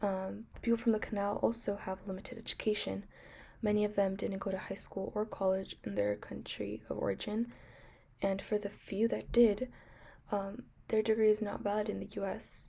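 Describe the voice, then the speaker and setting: Her tone is dark and mellow, at a medium pitch for a woman. She speaks at a moderate pace with monotone, flat intonation. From US, Mexican American family. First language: Spanish. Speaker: nursing student. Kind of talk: class presentation. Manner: hesitant, many fillers.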